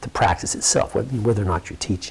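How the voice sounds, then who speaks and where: Noticeable background noise sits under the voice. A man talks at a fairly quick pace with a fairly low pitch. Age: 60s. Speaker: yoga teacher. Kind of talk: interview conversation. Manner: halting.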